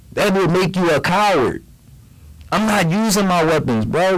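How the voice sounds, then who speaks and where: A man with a high pitch speaks at a moderate pace with ordinary pitch variation and very even loudness, with noticeable background noise behind him. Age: 30s. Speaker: podcast co-host. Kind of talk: casual chat.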